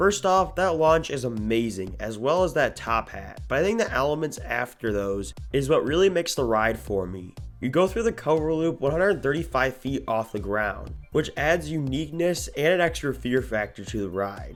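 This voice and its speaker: Very wide pitch swings at a moderate pace, hardly any pauses, music in the background. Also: man, medium pitch for a man. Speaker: roller coaster reviewer. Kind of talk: enthusiast ranking video narration.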